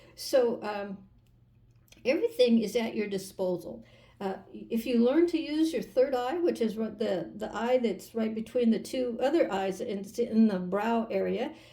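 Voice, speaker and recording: A woman speaks with lively intonation at a fairly high pitch, with some vocal fry. Her tone is dark and mellow, and her pace fairly slow. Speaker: tarot reader. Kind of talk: tarot reading. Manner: animated; halting, many fillers.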